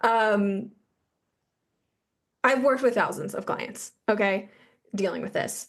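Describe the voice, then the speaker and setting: With vocal fry and a fairly high pitch, a woman speaks at a fairly slow pace with fairly even intonation and long, frequent pauses. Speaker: women's health coach. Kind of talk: interview. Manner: stumbling.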